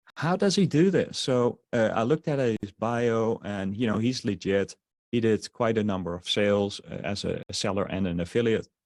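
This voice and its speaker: A man with a slight Dutch accent talks at a medium pitch and a moderate pace, with hardly any pauses. His intonation is lively, and the sound is dry and close with no echo. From Netherlands. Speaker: online marketer. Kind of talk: sales webinar. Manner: halting, many fillers.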